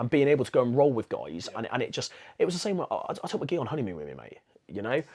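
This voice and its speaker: In a Bristolian accent, a man speaks in an animated tone at a very fast pace, his loudness swinging widely. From England, Bristol. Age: 30s. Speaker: jiu-jitsu brown belt and teacher. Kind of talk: casual podcast chat.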